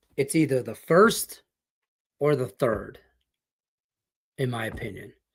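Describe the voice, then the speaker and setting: A man's medium-pitched, somewhat breathy voice with a Detroit accent, lively intonation and big swings in loudness. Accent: Midwestern US (Detroit). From Detroit, Michigan. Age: 50s. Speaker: sports betting host. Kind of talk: live stream sports betting talk. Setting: live stream. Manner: casual, rambling with false starts.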